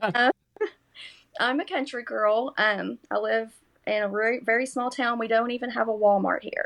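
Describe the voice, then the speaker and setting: At a moderate pace, a woman with a strong Kentucky accent speaks in a fairly high pitch. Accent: strong rural Kentucky. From US South, Kentucky. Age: 40s. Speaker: nursing student. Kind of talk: podcast interview.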